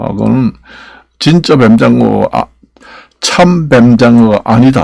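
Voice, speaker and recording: Fairly slow pace from a man, his pitch varying in an ordinary way. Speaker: YouTuber. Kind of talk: casual vlog monologue. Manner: halting, many fillers and restarts.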